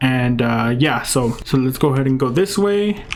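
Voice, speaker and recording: A man's fairly high voice with a non-native accent and ordinary pitch variation, with music in the background. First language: not English. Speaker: gaming youtuber. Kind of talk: tutorial gameplay commentary. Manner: casual, many filler words.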